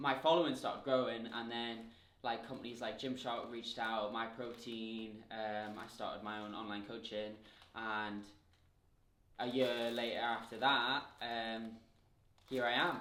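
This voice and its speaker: There is audible room echo as a man talks with a Geordie accent. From northern England, Newcastle. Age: 20s. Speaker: fitness influencer. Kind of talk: casual Q&A vlog. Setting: home kitchen. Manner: chatty, filler-heavy.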